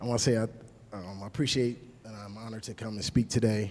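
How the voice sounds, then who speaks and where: A man with a fairly low pitch and an American accent, talking at a very fast pace in a fairly even tone. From New York State. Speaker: community member speaking at a public meeting. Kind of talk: public comment speech. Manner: passionate, unscripted; soft-spoken at first.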